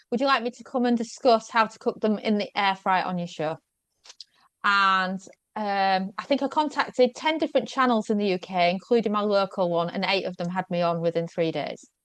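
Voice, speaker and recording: Against a quiet background, the speaker talks at a fairly quick pace in a Yorkshire accent with ordinary pitch variation. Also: woman, medium pitch for a woman. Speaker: food blogger and media guest expert. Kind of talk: podcast interview.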